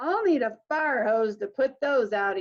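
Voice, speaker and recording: Using a put-on character voice, a woman speaks at a moderate pace with high pitch and lively intonation. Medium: read story. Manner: gentle, patient.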